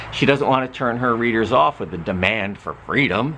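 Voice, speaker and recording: A man with a medium-pitched voice is heard against noticeable background noise. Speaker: literature professor. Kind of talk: lecture. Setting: outdoors. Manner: animated.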